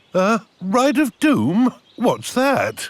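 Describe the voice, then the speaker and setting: A cartoonish character voice comes through at a fairly high pitch. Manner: jovial, hesitant with 'uh'.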